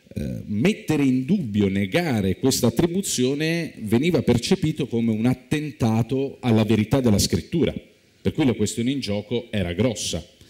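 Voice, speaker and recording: A man with a dark, mellow tone, medium pitch and lively intonation, at a moderate pace against a quiet background. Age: young. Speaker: biblical studies professor; speaker. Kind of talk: lecture. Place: stage. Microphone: lapel.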